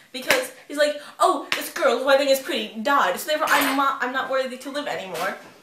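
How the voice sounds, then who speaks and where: Noticeable background noise sits behind a woman's voice. She speaks at a very fast pace and a high pitch. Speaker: vlogger. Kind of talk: casual vlog chat. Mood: playful, ranting. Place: kitchen. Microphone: webcam.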